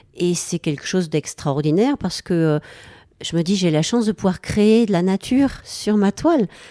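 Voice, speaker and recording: A woman's dark, mellow voice of medium pitch, with lively intonation, a moderate pace and very even loudness, in a dry, close sound with no echo on a very clean recording with a silent background. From southwest France, Lot-et-Garonne (Villeneuve-sur-Lot). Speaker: painter and songwriter. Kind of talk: radio interview.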